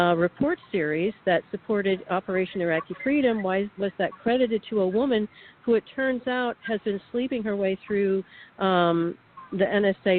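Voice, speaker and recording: Her delivery moderately paced, a woman speaks in an unremarkable speaking voice with normal rises and falls in pitch. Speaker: whistleblower, radio guest. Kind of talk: radio interview testimony.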